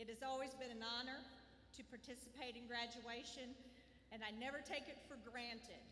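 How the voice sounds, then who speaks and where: The voice carries an American accent and a monotone, flat intonation. Audible room echo and noticeable background noise surround it. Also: woman. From Southwest Missouri. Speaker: school administrator. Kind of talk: graduation ceremony speech.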